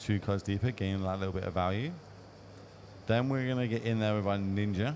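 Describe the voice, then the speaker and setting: A man with an ordinary speaking voice, fairly low in pitch with ordinary pitch variation, at a fairly quick pace. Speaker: esports commentator. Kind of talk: live commentary.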